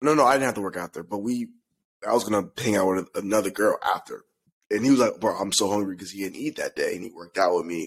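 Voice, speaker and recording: Words come out at a fairly quick clip. It is a normal speaking voice. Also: man. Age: 20s. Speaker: podcast co-host. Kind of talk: casual chat.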